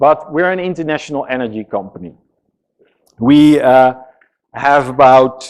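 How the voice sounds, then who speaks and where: A man with a Dutch accent speaks at a moderate pace. His pitch is fairly high, with ordinary variation. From Netherlands. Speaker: software engineering executive. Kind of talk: conference talk. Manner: casual, hesitant with fillers.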